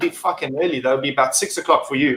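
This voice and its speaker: This man speaks with a South African accent. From South Africa, Durban. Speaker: acrylic mod maker and vape reviewer. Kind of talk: casual chat.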